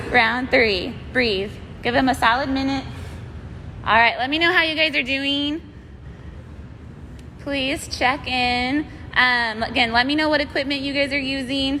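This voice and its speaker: Amid audible room echo, a woman uses a raised, projected, high-pitched voice with fairly even intonation, moving at a fairly slow pace with long, frequent pauses. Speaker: fitness instructor. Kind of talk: live workout class instruction. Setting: live-streamed video from gym. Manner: loud, projecting; casual, chatty.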